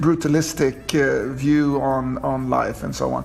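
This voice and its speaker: The speaker has a Scandinavian accent. Background noise is noticeable throughout. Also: man. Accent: Scandinavian accent, fluent English. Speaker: TV director. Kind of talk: interview. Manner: halting, with repeated words.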